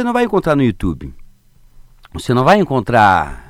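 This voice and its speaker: Pitched fairly high, a man's voice moves through very wide pitch swings. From southern Brazil, Paraná and Santa Catarina. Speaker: circus theatre clown and actor. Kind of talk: radio interview.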